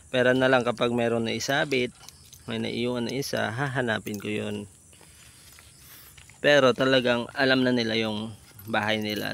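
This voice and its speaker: Noticeable background noise is present behind a man's voice. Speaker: goat farmer vlogger. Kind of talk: casual vlog. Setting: outdoors on farm. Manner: slow; lowered voice, quiet.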